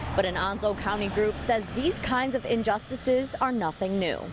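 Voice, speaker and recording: Amid noticeable background noise, a woman with a fairly high pitch talks at a moderate pace with ordinary pitch variation. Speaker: TV news reporter. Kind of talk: TV news report.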